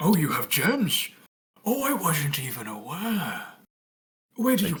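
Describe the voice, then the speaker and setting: Sitting at a middle pitch, this put-on character voice leaps through very wide pitch swings. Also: fairly slow pace. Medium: actual play. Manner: theatrical, mock-polite.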